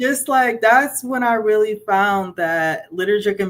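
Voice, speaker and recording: A woman's ordinary speaking voice at a fairly slow pace with ordinary pitch variation. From Ghana, immigrated to US at 5. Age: 30s. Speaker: children's author and social worker. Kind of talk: interview.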